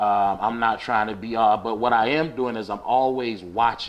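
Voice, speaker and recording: With an American accent and an unremarkable speaking voice, a man talks at medium pitch with fairly even intonation. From New Jersey (Asbury Park/Neptune area). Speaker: music producer. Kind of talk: casual podcast interview.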